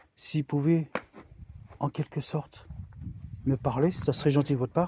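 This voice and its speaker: A quiet male voice with a dark, mellow tone, fairly even intonation and a moderate pace, the sound dry and close with no echo. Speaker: paranormal investigator youtuber. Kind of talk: ghost hunting vlog. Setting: outdoors in a cemetery at night. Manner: loud; hushed.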